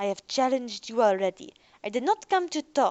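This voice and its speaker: A put-on character voice growls at a moderate pace. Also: woman. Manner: growling, hostile.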